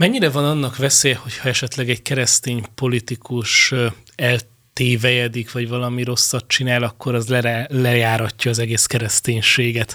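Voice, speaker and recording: A man's fairly quick delivery in a monotone with flat intonation. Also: medium pitch for a man. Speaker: radio host. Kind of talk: interview. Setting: studio.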